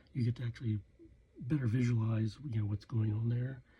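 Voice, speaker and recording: The voice is soft-spoken and somewhat breathy, with a dark, mellow tone and fairly even intonation. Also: man. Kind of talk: casual talk to camera. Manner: hesitant, rambling.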